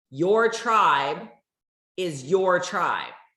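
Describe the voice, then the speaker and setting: A woman speaks in an animated tone, with audible room echo. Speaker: network marketing leader. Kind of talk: motivational talk. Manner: loud.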